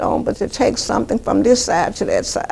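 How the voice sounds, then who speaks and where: A woman talks here. Background noise is noticeable throughout. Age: 70s. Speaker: charity volunteer and founder. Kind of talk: interview answer.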